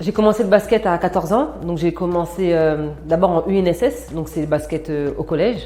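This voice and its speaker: Her dark, mellow voice sits fairly low for a woman. The pitch moves in an ordinary way. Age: 30s. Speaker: former basketball player, sports manager. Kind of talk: interview testimony. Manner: frequent hesitations (euh).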